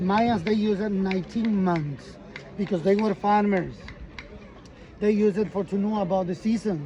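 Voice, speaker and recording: Over crowd noise in the background, the speech moves at a fairly slow pace. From Yucatán, Mexico (Maya). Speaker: tour guide. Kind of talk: guided tour explanation. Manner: animated.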